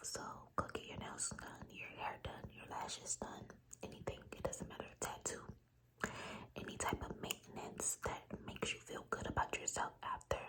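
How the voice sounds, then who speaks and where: A woman whispers at a moderate pace. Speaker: ASMR creator. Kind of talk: ASMR girl talk, soft-spoken advice to the viewer. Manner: soft-spoken, whispered.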